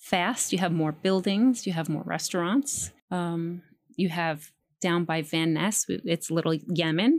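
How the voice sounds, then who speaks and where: A woman with an American accent and a normal speaking voice speaks fairly slowly at a fairly low pitch in a very clean recording with a silent background. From New York City, the Bronx. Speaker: political candidate. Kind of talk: interview.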